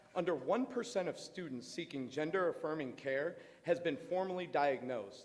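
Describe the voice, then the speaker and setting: A man talks loudly at a high pitch. His intonation is lively. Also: moderate pace. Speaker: parent speaking at public comment. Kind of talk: public comment at school board meeting. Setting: school board meeting, speaking at a microphone.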